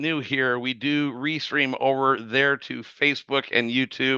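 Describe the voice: A man's medium-pitched voice with a bright, sharp tone and a clear, smooth tone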